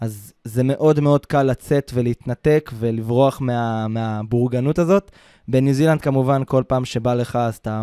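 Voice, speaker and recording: A man talks in a dark, mellow tone at a medium pitch and a moderate pace. His pitch varies in an ordinary way, on a very clean recording with a silent background. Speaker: podcast host, travel consultant. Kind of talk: casual chat. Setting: studio, Ramat Gan.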